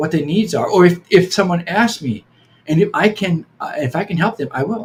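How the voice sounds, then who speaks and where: His pitch is high for a man, with lively intonation. The pace stays moderate. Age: 70s. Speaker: Hawaiian healing practitioner. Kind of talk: podcast interview. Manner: halting, many repetitions.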